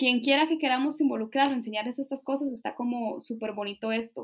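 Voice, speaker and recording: A woman with a Costa Rican accent speaks at a high pitch with fairly even intonation. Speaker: podcast co-host. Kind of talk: casual chat.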